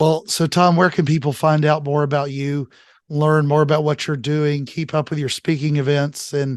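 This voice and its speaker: A man speaks at a fairly high pitch and a moderate pace. His intonation is monotone and flat, with a quiet background. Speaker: podcast host. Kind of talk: interview; interview outro and takeaways.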